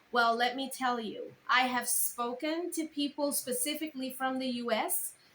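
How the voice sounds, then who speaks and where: A woman with a Caribbean accent talks at a high pitch and a moderate pace, her pitch varying in an ordinary way. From Caribbean island. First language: not English. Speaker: content creator and speaker. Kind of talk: casual vlog advice.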